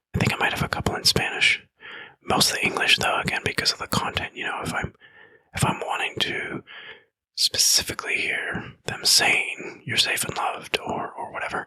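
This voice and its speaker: Someone speaks in a whisper. The pace is moderate. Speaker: mental health podcast host. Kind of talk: podcast monologue. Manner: whispered.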